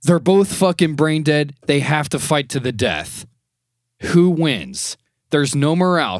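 Here a man with an ordinary speaking voice talks at a fairly slow pace and a fairly high pitch, with ordinary pitch variation. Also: very clean recording, silent background. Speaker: podcast co-host. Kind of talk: casual chat.

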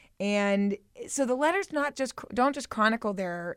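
This woman's fairly high voice has lively intonation at a moderate pace. The recording is very clean, with a silent background and a dry, close sound with no echo. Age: 20s. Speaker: radio producer. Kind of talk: casual chat. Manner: halting.

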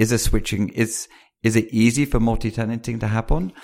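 A man with a British accent at a fairly quick pace, on a very clean recording against a silent background. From UK. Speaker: venture capitalist. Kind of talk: interview.

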